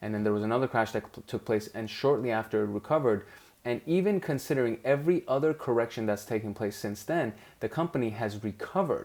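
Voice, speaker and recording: A man with a non-native accent talks very fast at a medium pitch, his pitch varying in an ordinary way. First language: not English. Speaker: investing show host. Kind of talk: screen-share commentary on stock charts. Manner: casual, with fillers and self-corrections.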